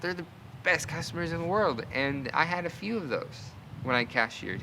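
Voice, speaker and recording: A man mumbling with very wide pitch swings. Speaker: vlogger. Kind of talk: casual storytelling monologue. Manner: halting.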